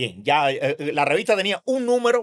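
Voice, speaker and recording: A man's energetic voice at a moderate pace, with very wide pitch swings and a dry, close sound with no echo. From Cuba, Havana. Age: 70s. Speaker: physician and professor. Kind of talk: interview.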